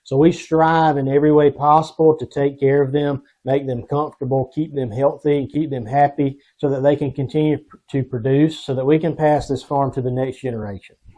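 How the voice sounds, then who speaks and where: A man with a South Carolina accent and a dark, mellow tone speaks at a fairly quick pace with monotone, flat intonation. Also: fairly high pitch for a man. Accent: Southern US (South Carolina). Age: 30s. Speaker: dairy farmer. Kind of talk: interview. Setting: outdoors on a dairy farm.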